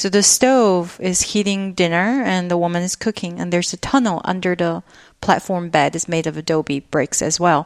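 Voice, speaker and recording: A woman speaks with a Chinese accent at a fairly low pitch, her pitch varying in an ordinary way. The sound is dry and close, with no echo. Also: quiet background. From northeast China (Jilin). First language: Mandarin Chinese. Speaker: installation artist and teacher. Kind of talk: interview conversation.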